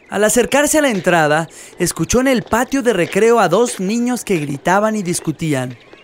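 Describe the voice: Lively intonation across a plain read-aloud passage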